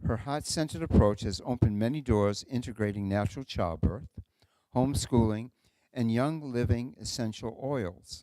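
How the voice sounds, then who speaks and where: Speaking with a New England accent, a man has a dark, mellow tone at a medium pitch. His pace is moderate and his pitch varies in an ordinary way. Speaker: event host introducing speakers. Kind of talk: speaker introduction at a live talk event.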